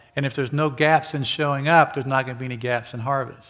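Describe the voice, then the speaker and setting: A man with an ordinary speaking voice speaks at a medium pitch, his intonation fairly even. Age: 60s. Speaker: pastor. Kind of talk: sermon.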